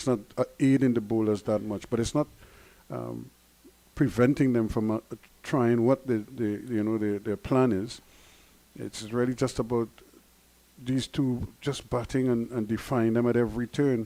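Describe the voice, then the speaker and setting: Pausing long and often, a man speaks at a moderate pace with a medium pitch, a dark, mellow tone and fairly even intonation. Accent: Guyanese. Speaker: cricket commentator. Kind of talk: live commentary.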